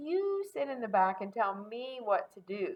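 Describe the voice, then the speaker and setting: A put-on character voice that sounds female swings very widely around a high pitch at a moderate pace. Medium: read story.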